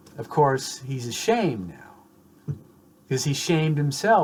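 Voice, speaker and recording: A man speaks in a fairly high voice that is somewhat breathy. His pace is fairly slow. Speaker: psychoanalyst lecturer. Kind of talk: lecture. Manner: halting, many restarts.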